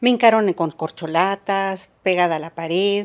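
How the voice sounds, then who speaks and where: Fairly even intonation comes at a moderate pace against a quiet background. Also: woman. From Zinacantán, Chiapas, Mexico; Chiapas, Mexico. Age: 50s. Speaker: politician; podcast guest. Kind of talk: interview testimony; interview answer. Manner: halting, many fillers. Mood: earnest, recounting painful childhood. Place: home room. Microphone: studio mic.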